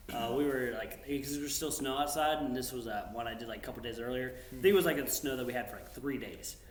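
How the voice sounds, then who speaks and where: A man with an American accent talks at a very fast pace with ordinary pitch variation, over noticeable background noise and audible room echo. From US South, North Carolina (Union County). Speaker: military drone pilot. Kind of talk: casual chat. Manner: animated.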